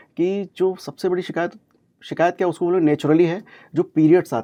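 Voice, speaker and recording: A man's high-pitched voice with a dark, mellow tone over a quiet background. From Kanpur, India. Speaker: homeopathic doctor. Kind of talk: radio interview answer, medical advice.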